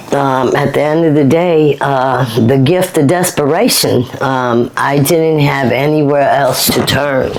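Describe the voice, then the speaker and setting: In a room with audible echo and noticeable background noise, a woman with a very deep, low voice speaks at a fairly slow pace, with fairly even intonation, very even loudness and hardly any pauses. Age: 50s. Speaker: author in addiction recovery. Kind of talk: casual interview. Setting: at home.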